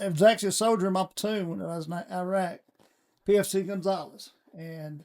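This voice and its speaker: Speaking with a Southern US accent, a man uses a high pitch and fairly even intonation. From US South, Alabama (Sand Mountain). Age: 60s. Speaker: city council candidate, retired state trooper. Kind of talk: casual chat.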